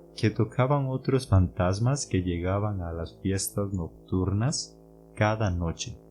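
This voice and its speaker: A man's fairly low-pitched voice at a very slow pace, with music in the background. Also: ordinary pitch variation. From Costa Rica. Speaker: podcast host, Spanish teacher. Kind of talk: educational podcast narration. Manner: clear and slow.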